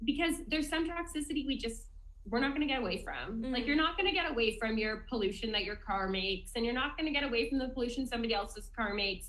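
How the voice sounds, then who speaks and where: A woman talks at a very fast pace in a high pitch, her intonation lively, with noticeable background noise behind her. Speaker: doctor, podcast guest. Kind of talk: medical explanation for lay listeners. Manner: fast talker; enthusiastic.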